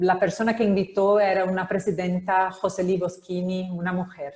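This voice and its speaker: In a Brazilian accent, a woman speaks at a fairly low pitch. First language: Portuguese (speaking Spanish). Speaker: publisher. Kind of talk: panel discussion. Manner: halting.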